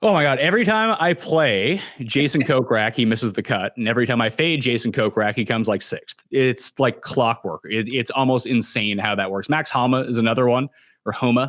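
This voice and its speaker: This man has a plain, everyday voice with a medium pitch. He keeps a fairly quick pace and ordinary pitch variation. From Canada. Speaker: fantasy golf analyst. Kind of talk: casual podcast chat.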